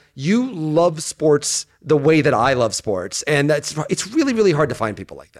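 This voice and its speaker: This man has an ordinary speaking voice, fairly high in pitch, moving at a moderate pace with lively intonation. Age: 40s. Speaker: sports writer and podcast co-host. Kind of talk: casual interview chat.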